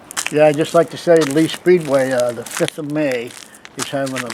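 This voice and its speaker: Against noticeable background noise, a man with a fairly high pitch talks at a moderate pace with fairly even intonation. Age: 70s. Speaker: car collector. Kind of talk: casual chat.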